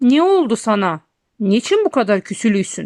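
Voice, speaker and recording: Putting on a character voice, a woman speaks at a moderate pace with a fairly high pitch and very wide pitch swings. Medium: read story. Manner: sly, good-humored.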